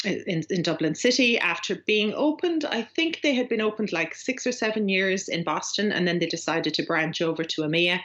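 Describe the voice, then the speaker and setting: Her medium-pitched voice moves at a moderate pace. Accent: strong Irish. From Ireland. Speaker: agency growth coach. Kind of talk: podcast interview. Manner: hesitant, many fillers.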